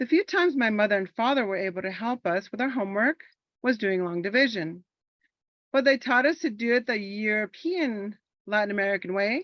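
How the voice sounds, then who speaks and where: Speaking at a fairly quick pace with a Spanish accent, a woman uses lively intonation at a fairly high pitch. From Los Angeles, California, US. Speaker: military veteran, monologue performer. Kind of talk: performed personal monologue.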